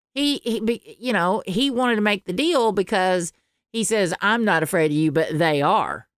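With a Southern US accent, a woman talks in lively intonation at a very even loudness, the sound dry and close with no echo. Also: medium pitch for a woman, moderate pace, very clean recording, silent background. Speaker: podcast co-host and audiobook narrator. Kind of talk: casual chat. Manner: halting, many false starts.

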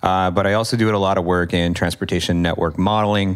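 A man speaks at a fairly quick pace with a very deep, low pitch and fairly even intonation. The recording is very clean, with a silent background. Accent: American. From US Midwest/South (Kentucky and Indiana). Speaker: professor, urban planning researcher. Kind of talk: interview conversation.

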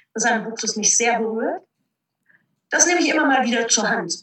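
A woman's ordinary speaking voice, fairly high in pitch, with ordinary pitch variation. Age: 40s. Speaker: motivational speaker and trainer. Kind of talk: interview.

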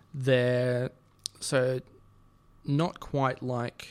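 A man is speaking. He has an Australian accent. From Sydney, Australia. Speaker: podcast guest. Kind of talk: casual chat. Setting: studio.

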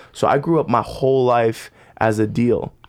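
In an ordinary speaking voice, a man talks at a medium pitch whose variation is ordinary. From Arizona, US. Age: 20s. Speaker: worship leader. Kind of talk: casual chat.

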